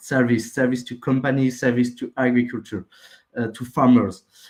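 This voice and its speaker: A medium-pitched male voice with a French accent. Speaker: project founder pitching. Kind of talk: project pitch. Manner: halting.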